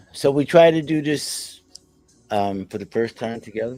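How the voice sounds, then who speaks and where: Music plays in the background as a man talks. His pace is fairly slow and his intonation lively. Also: big swings in loudness. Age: 60s. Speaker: internet radio host. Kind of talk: casual chat. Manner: animated.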